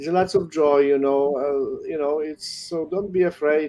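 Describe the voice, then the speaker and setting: With music in the background, a man speaks in a fairly high pitch and fairly even intonation. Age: 60s. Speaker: priest and missionary. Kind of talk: casual interview on video call. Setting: video call.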